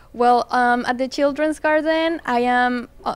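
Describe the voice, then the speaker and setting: This speaker has a Spanish accent and a fairly slow pace, with ordinary pitch variation. The recording is very clean, with a silent background. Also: woman. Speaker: plant business owner. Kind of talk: interview.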